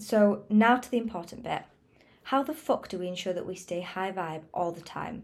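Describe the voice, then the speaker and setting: A woman speaks at a medium pitch and a moderate pace, in an unremarkable speaking voice. The recording is very clean, with a silent background. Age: 20s. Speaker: wellness podcaster. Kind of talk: motivational monologue.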